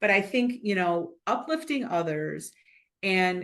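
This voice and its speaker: Her pitch varies in a usual way as a woman with an unremarkable speaking voice talks fairly slowly. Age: 60s. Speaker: business leader and board director. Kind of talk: interview.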